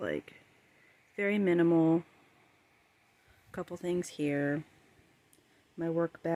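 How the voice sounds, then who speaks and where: Very slowly, a woman speaks in a dark, mellow tone with long, frequent pauses. The sound is dry and close, with no echo. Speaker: cleaning vlogger. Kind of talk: casual vlog talk to camera. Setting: home, bedroom. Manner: loud; filler-heavy, says um a lot.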